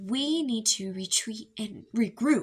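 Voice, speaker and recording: A woman performs a put-on character voice at a fairly high pitch. Her pace is fairly slow. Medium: read story. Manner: nervous, grudging.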